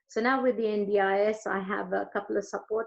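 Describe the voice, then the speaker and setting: Her pitch medium and her intonation fairly even, a woman speaks at a moderate pace. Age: 60s. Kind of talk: personal testimony. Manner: hesitant, with many fillers.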